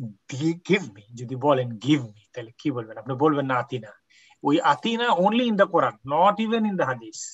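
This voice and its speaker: A man speaks in a fairly high, somewhat breathy voice. His pitch swings very widely and his loudness shifts a great deal. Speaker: Quran Arabic teacher. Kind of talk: online class.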